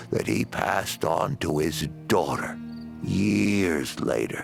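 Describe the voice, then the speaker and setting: A man speaks in a cartoonish character voice, very deep and low, at a very slow pace. Clear music plays in the background. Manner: folksy, drawling, homespun.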